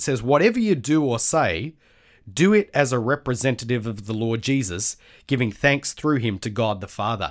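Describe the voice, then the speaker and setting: Speaking at a fairly quick pace with an Australian accent, a man uses lively intonation at medium pitch, captured on a very clean recording with a silent background. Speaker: Bible college lecturer. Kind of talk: casual interview, devotional encouragement.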